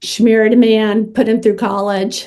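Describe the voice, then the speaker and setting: A woman's normal speaking voice, fairly high in pitch, at a fairly slow pace. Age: 60s. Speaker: social worker and author. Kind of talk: interview.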